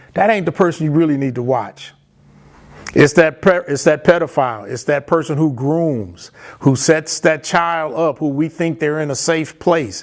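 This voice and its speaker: A man with an American accent talks at a moderate pace in an ordinary speaking voice, his pitch fairly high. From US Midwest (Chicago, Michigan). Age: 60s. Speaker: guest speaker, abuse survivor. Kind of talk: testimony. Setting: virtual fundraising event.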